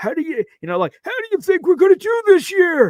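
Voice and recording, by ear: Using a put-on character voice, a man speaks at an extremely high pitch. His pace is fairly quick.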